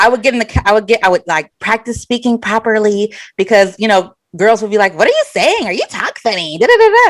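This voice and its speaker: A woman with an American accent at a very fast pace, fairly high in pitch with ordinary pitch variation, in a dry, close sound with no echo. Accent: Southern accent, mostly hidden on camera. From Florida, US South. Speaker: podcast co-host. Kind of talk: casual chat.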